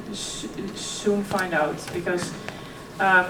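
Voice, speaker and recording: A woman speaks in a flat monotone. The room echoes audibly, and background noise is noticeable. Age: 20s. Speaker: keynote speaker. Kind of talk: keynote speech. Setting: stage with audience.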